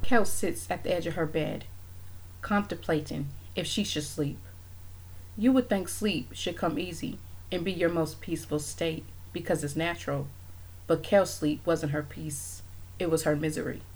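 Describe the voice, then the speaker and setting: A woman speaks at a moderate pace with very deep, low pitch and vocal fry. Her intonation is lively, broken by long, frequent pauses. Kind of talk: horror narration. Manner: hushed, ominous, suspenseful pacing.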